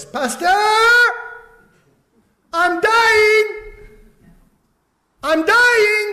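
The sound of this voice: A loud, put-on character voice at an extremely high pitch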